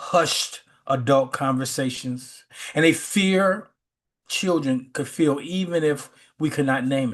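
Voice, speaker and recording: A man's normal speaking voice with an American accent, fairly high pitch, ordinary pitch variation and a fairly slow pace. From US Midwest, Chicago west side. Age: 60s. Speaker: spiritual teacher. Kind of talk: sermon; casual chat. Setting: video call.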